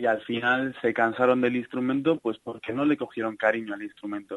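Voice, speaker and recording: This man's voice sits at medium pitch. Its rise and fall is ordinary. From Salamanca, Spain. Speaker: clarinetist and composer. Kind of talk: interview. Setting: phone call.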